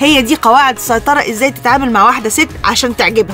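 A woman with an Egyptian accent, dry sound with no echo and clear music in the background. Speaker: radio show host. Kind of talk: radio talk show advice. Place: studio.

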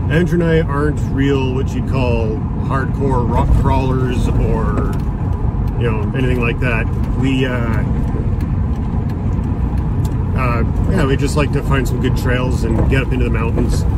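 Over loud background noise, a man speaks at a fairly slow pace with long, frequent pauses. The sound is dry with no echo. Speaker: overlanding vlogger. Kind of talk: casual vlog chat. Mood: excited, relaxed. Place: car. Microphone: phone near.

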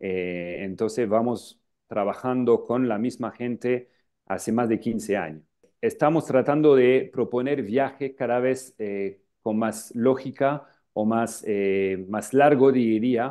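A man with a French accent, very slow pace and ordinary pitch variation, against a quiet background. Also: medium pitch for a man. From northern France, Lille; France. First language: French (speaking Spanish). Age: 40s. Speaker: travel agency founder. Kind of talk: interview. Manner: halting, many filler sounds. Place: office. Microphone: earbuds.

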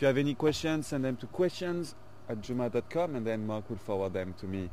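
A man speaks at a fairly quick pace with a dark, mellow tone and ordinary pitch variation. The sound is dry with no echo, over light background noise. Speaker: presenter. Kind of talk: live safari commentary. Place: open country.

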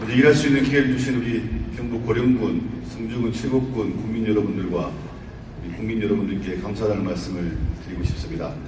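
Noticeable background noise sits behind a man of medium pitch who speaks fairly quickly with ordinary pitch variation. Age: 40s. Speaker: politician, newly elected member of parliament. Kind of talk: formal greeting speech at an event.

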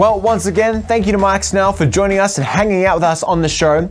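Upbeat and enthusiastic, a man with an Australian accent and a high voice speaks at a very fast pace with ordinary pitch variation. Faint music plays in the background. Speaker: show host. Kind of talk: talk show host outro. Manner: upbeat, enthusiastic. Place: studio. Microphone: studio mic.

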